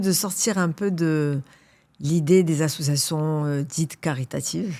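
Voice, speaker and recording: A woman is speaking. Her pace is fairly slow. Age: 60s. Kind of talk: podcast interview. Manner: hesitant, many fillers.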